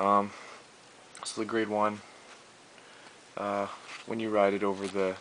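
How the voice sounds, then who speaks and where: Over noticeable background noise, a man with a fairly low voice speaks at a moderate pace in a monotone, flat delivery. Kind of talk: card game deck profile, casual talk. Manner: hesitant, many fillers.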